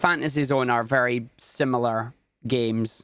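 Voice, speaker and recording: This is a very clean recording with a silent background. The man's tone is bright and sharp. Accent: Scottish. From Scotland. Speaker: video game speedrunner and streamer. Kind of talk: casual interview chat.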